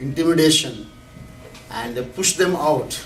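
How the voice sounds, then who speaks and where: Moderately paced speech comes through with audible room echo and noticeable background noise. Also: man. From India. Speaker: professor and activist. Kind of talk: lecture. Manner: halting, with frequent restarts and fillers.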